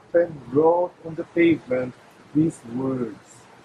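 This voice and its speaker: A man speaks very slowly at a high pitch, with noticeable background noise. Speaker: poet. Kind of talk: poetry reading.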